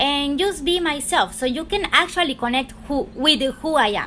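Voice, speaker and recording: Raising and projecting her voice, a woman with a Spanish accent speaks at a moderate pace in a high pitch with lively intonation. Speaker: tarot reader, YouTuber. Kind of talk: casual chat. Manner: unscripted, halting.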